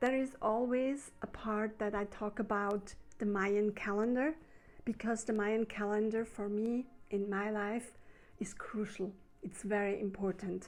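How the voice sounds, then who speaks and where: Here a woman speaks with a German accent. Her pitch is fairly high and her pace fairly slow. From Switzerland. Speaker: spiritual healer. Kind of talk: spiritual talk to camera. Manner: unscripted, slightly halting.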